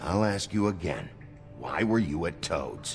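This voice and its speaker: A man growls in a put-on character voice, fairly low in pitch and at a fairly slow pace. Clear music sounds in the background. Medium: video game. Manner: terse, gruff.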